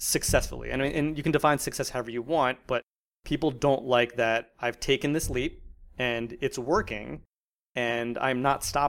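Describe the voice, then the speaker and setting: A man with an American accent talks at a moderate pace in a medium pitch with ordinary pitch variation, a normal speaking voice, on a very clean recording with a silent background. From US, South Jersey. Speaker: music platform founder. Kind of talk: interview.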